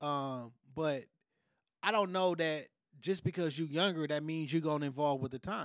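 A man with a fairly high pitch and ordinary pitch variation talks at a moderate pace in an unremarkable speaking voice, recorded very cleanly against a silent background. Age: 30s. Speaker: podcast host. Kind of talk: casual chat.

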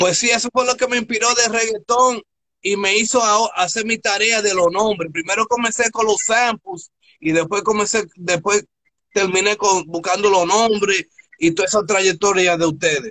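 In a raised, projected voice with a bright, sharp tone and an animated delivery, a man speaks at a high pitch and a moderate pace, with ordinary pitch variation, very even loudness, and a dry, close sound with no echo. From Newark, New Jersey. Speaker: DJ and online radio host. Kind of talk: interview. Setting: live stream.

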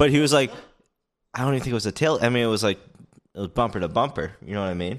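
Long, frequent pauses break up a man's very fast, lively speech, pitched in the medium range. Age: 20s. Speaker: podcast co-host, engineer. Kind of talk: casual chat. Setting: in person at a friend's place.

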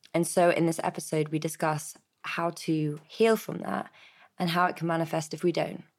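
Speaking with a British accent, a woman uses a fairly low pitch and fairly even intonation at a moderate pace. The recording is very clean, with a silent background. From Britain. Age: 30s. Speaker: podcast host. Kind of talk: scripted intro; interview conversation.

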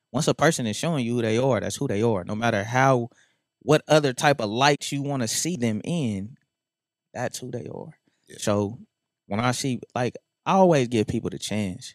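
A man with an American accent speaks in a normal speaking voice at medium pitch and a moderate pace, with ordinary pitch variation and a dry, close sound with no echo. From North Las Vegas, Nevada. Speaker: rapper. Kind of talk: casual chat. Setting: studio.

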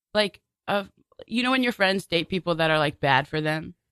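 In an American accent, a woman talks at a moderate pace with a medium pitch and lively intonation. Her tone is bright and sharp, and the sound is dry and close with no echo. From Brooklyn, New York. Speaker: improv performer. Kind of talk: casual radio interview. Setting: radio studio.

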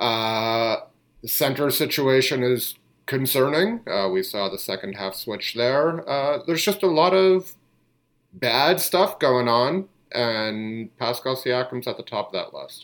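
Speaking fairly slowly, a man uses a normal speaking voice at a medium pitch. His intonation is lively. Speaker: basketball podcast host. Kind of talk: casual sports chat.

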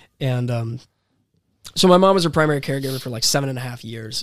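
A man talks at a very fast clip with an American accent. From US South (Florida, DeLand). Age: 20s. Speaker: singer-songwriter. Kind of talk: casual chat.

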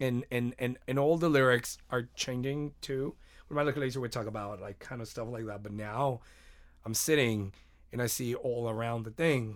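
A man with a Spanish accent, medium in pitch, at a moderate pace with fairly even intonation, on a very clean recording with a silent background. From Mexico, Mexicali. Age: 30s. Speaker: musician. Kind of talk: casual interview.

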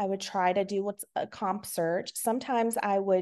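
A woman with an American accent talks at a moderate pace and medium pitch in an unremarkable speaking voice. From Virginia. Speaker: reseller and true crime streamer. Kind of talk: casual interview chat.

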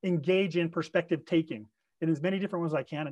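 A man talks at a very fast pace and a high pitch. The sound is dry and close, with no echo. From Pleasant Grove. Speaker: leadership development consultant. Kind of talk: interview.

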